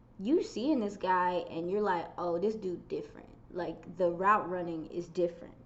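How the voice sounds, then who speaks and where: Fairly even intonation with audible room echo. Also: woman. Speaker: football content creator. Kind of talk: casual chat.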